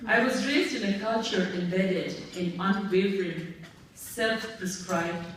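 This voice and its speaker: A woman with an American accent speaks at a fairly slow pace with ordinary pitch variation. Noticeable background noise and audible room echo surround her. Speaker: award honoree, interfaith activist. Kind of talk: award acceptance speech. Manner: formal.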